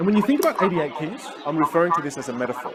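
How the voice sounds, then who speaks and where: Over background music, a man speaks with a Chaoshan accent. His tone is animated. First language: Teochew. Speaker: communication coach. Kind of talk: online masterclass.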